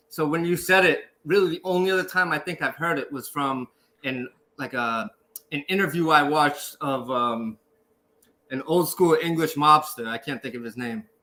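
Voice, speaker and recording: In a Boston accent, the speaker talks at a moderate pace with ordinary pitch variation. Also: man, fairly high pitch for a man. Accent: Boston American. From Boston, Dorchester, US. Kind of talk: casual interview chat.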